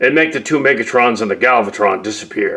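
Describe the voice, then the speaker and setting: Here a man puts on a character voice. He talks at a fairly quick pace. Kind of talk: caveman broken speech. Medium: machinima. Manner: blunt, short, broken sentences, speaks of himself by name.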